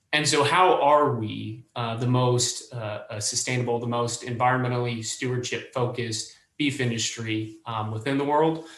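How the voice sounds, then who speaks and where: A medium-pitched male voice with hardly any pauses and audible room echo. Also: fairly even intonation. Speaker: meat industry representative. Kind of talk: panel discussion. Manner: fast.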